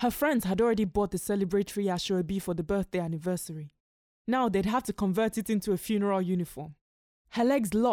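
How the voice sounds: With a quiet background, the speaker uses a natural reading voice.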